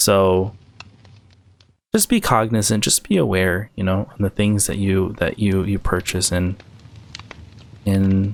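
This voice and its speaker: The man's pitch is fairly low and his intonation flat and monotone. He talks fairly slowly, with long, frequent pauses. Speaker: gaming youtuber. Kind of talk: casual vlog monologue. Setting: outdoors by a campfire. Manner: halting.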